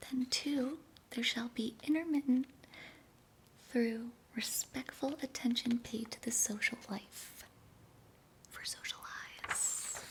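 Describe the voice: A woman whispering at a slow pace.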